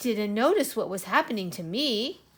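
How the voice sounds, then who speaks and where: A woman does a put-on character voice. Her pitch sits fairly high and her pace is moderate. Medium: read story. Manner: excited, wondering.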